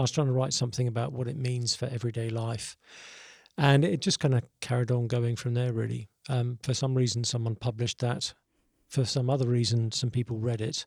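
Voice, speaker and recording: Speaking with a southern English accent at a fairly quick pace, a man sounds somewhat breathy, his intonation fairly even, on a very clean recording with a silent background and a dry, close sound with no echo. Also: medium pitch for a man. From Southeast England. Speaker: pastor and author. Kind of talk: casual interview.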